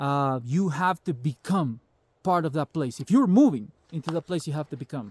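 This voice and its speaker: With a Salvadoran accent, a man speaks at a fairly quick pace in a fairly high pitch, his tone animated and his intonation lively. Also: dry, close sound with no echo, very clean recording, silent background. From El Salvador. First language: Spanish. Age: 40s. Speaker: prepper vlogger. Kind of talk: casual monologue vlog.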